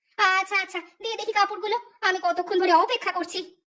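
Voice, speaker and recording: In a put-on character voice, a woman speaks at a fairly quick pace with an extremely high, squeaky pitch and monotone, flat intonation. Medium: cartoon. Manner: scolding, impatient.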